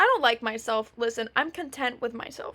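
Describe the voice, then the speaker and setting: A raised, projected voice with ordinary pitch variation speaks at a moderate pace over noticeable background noise. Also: woman. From Canada, Ontario. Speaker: podcast host. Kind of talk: casual monologue. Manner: loud; many fillers.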